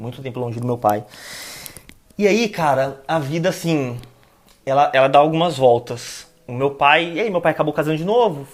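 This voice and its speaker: This man talks at a moderate pace with a fairly high pitch. His intonation is lively, and he leaves long, frequent pauses. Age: 20s. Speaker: planning manager. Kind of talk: casual interview chat.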